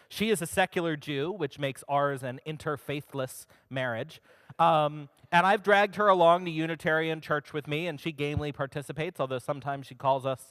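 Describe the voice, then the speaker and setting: With an American accent, a man talks at a fairly quick pace in an ordinary speaking voice, fairly high in pitch with ordinary pitch variation. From Maryland, US. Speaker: humanist organization director, speaker. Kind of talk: talk to a congregation. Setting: stage with audience.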